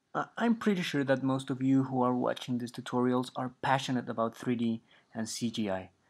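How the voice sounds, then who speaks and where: A man's medium-pitched voice comes across a quiet background. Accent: Spanish. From Mexico. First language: Spanish. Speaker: 3D artist and instructor. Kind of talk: tutorial. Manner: hesitant, with frequent fillers.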